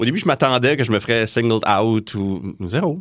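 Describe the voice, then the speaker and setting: Fairly low-pitched man with ordinary pitch variation on a very clean recording with a silent background. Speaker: forensic accountant and lecturer. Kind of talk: podcast interview.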